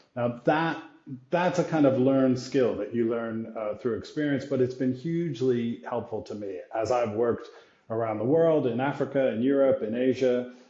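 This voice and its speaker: A man at medium pitch with an American accent, a normal speaking voice, moderate pace and ordinary pitch variation. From US, New York area. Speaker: brand executive. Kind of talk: interview conversation.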